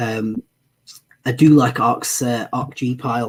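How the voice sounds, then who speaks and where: A man speaks at a medium pitch in a somewhat breathy voice with fairly even intonation. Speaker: guest presenter on ETF investing. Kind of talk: live-stream Q&A presentation. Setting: live stream. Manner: many filler words, hesitant.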